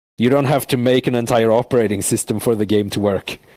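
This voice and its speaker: A man's medium-pitched voice with a non-native accent, dark and mellow in tone, at a fairly quick pace, in a dry, close sound with no echo. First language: not English. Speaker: VR world creator. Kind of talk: casual interview. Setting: inside a VR world. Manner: speech deteriorating from long talk.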